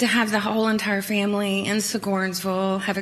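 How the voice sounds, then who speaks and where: Noticeable background noise and audible room echo surround this recording. A woman speaks in an Appalachian accent. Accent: Appalachian US Southern. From Kingsport, Tennessee. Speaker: trial witness, civil designer. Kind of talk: court testimony. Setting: courtroom. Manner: soft-spoken.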